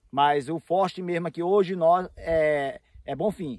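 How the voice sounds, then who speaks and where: A man's high voice with ordinary pitch variation, dry with no echo, against a quiet background. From Roraima, Brazil. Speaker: real estate broker. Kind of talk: interview. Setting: outdoors. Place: open country.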